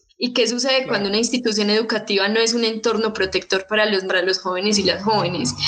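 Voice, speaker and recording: A woman with a fairly high pitch talks very fast with hardly any pauses. Her intonation is fairly even, her loudness very even, and noticeable background noise sits behind her. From Colombia, Medellín. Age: 20s. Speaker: youth activist. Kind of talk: panel discussion. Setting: video call.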